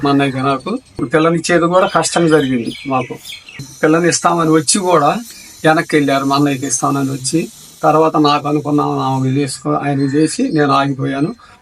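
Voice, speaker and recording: Fairly high-pitched male voice with fairly even intonation over noticeable background noise. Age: 70s. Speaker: farmer. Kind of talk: interview answer.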